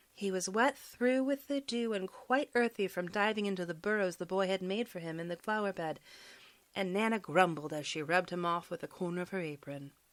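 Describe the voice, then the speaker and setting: A woman with an ordinary speaking voice, medium pitch and ordinary pitch variation, at a fairly quick pace. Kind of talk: audiobook bedtime story reading.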